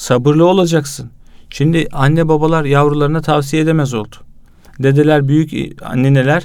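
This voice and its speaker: A man talks at a moderate pace, his pitch sitting fairly high. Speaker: youth association president and magazine editor. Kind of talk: religious talk. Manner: energetic.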